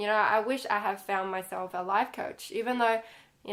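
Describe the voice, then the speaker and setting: A woman speaks with a non-native accent. Her intonation is monotone and flat. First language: not English. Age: 30s. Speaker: life coach and author. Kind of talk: personal vlog. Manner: casual, conversational.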